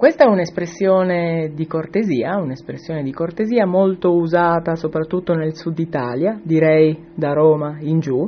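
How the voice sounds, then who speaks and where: A man speaks with a high pitch and ordinary pitch variation. He keeps a moderate pace with hardly any pauses. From southern Italy, Calabria (Tropea). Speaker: Italian teacher. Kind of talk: recorded audio comment.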